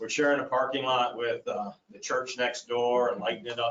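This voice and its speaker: A man at a medium pitch. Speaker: library board applicant. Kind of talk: public meeting testimony. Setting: county commission meeting. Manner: loud.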